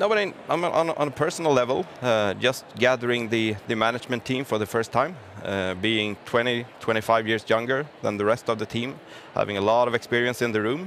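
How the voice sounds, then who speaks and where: The speaker moves at a fairly quick pace, pitch varying in an ordinary way, with noticeable background noise throughout. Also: man, medium pitch for a man. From Gothenburg, Sweden. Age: 30s. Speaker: business executive. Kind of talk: interview. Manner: halting.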